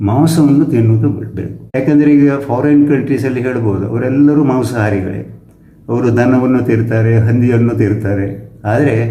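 A man with a medium pitch and ordinary pitch variation speaks with audible room echo. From Kundapura, coastal Karnataka (Gulwadi). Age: 80s+. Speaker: retired college principal and health researcher. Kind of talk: interview, health advice talk. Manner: halting, frequent pauses.

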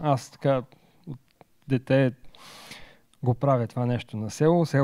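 A man's dark, mellow voice with ordinary pitch variation over a quiet background. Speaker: presenter. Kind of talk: lecture. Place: hall. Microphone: handheld.

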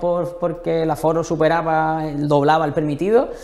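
A man speaks at a fairly slow pace. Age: young. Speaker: novelist; guest. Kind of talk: interview. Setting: museum library. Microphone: lapel.

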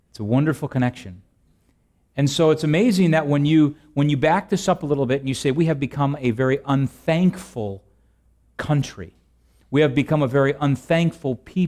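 Against a quiet background, a man with a fairly high pitch speaks at a moderate pace, leaving long, frequent pauses. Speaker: preacher. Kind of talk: sermon. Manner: reads scripture aloud in a solemn, steady cadence, then explains it; conversational, humorous, with filler words and laughs. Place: church.

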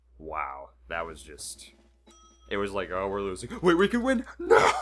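Music plays behind a man speaking at a fairly slow pace. His loudness swings a great deal. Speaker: gaming video co-host. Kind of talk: casual chat over gameplay.

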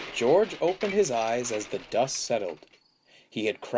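Against a quiet background, a natural voice reads aloud.

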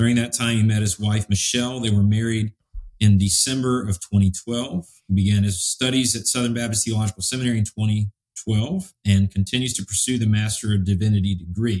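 A man with a somewhat breathy, fairly low voice at a fairly quick pace, fairly even intonation, and a dry, close sound with no echo. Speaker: podcast host. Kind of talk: casual theological conversation. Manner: halting, many fillers.

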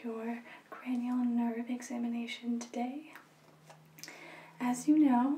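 Soft-spoken, with a dark, mellow, gentle tone, the voice carries audible room echo. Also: woman. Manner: soft, gentle ASMR speaking voice. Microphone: phone near.

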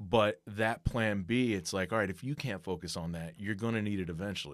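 A man speaks with an American accent at a fairly low pitch. His pitch variation is ordinary, and the background is quiet. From Trenton, New Jersey; New Jersey. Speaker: podcast co-host, sports business marketer; podcast co-host. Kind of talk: casual chat. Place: studio. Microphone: studio mic.

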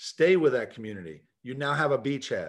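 Quiet surroundings and a man speaking at a moderate pace. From US, Puerto Rican father and Kentucky mother. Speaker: business founder, author and speaker; speaker. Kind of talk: video call interview. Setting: video call. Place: office. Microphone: video call.

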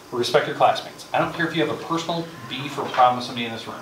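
A man talks at a very fast pace with ordinary pitch variation. Audible room echo and light background noise are present. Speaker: high school math teacher and coach. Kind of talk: first-day classroom talk to students. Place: classroom. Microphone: camera far.

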